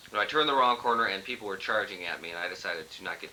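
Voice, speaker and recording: With noticeable background noise behind him, a man speaks at a very fast pace in a deadpan tone. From Southern California, Los Angeles. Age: 20s. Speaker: lawyer. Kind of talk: casual interview. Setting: family reunion, on video camera. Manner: humorous, deadpan.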